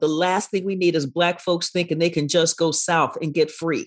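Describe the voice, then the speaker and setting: There is little noise behind the woman who is speaking. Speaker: professor and author. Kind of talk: interview. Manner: energetic, engaging.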